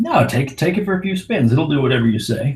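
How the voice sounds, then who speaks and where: A man's booming, put-on character voice at a fairly high pitch and a very fast pace. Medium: actual play. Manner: commanding, casual.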